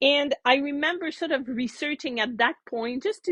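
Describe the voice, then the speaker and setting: Speaking at a fairly slow pace, a woman is heard in a dry, close sound with no echo. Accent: French Canadian. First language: French. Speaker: knitting teacher. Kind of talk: casual show-and-tell chat. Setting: yarn shop classroom, before class. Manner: chatty, with many fillers and restarts.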